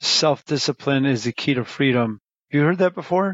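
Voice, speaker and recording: With an American accent, a man speaks at a fairly quick pace in a fairly high pitch with ordinary pitch variation. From Chicago area, US Midwest. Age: 50s. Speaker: restaurant owner. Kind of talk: interview.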